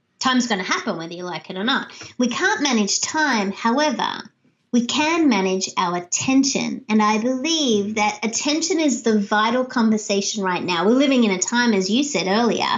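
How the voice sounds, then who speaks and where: With an Australian accent, a woman talks at a moderate pace in a fairly high pitch. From Australia, Sydney. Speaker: leadership speaker and author. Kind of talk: interview. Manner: animated.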